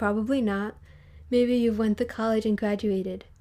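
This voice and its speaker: A woman speaks at a moderate pace in a fairly high pitch. Her tone is dark and mellow, her intonation monotone and flat. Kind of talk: reading a personal letter aloud.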